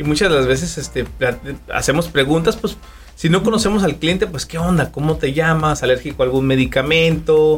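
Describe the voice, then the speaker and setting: Somewhat breathy and fairly high in pitch, a man's voice moves at a moderate pace. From Durango, Mexico. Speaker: barber. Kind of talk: casual interview.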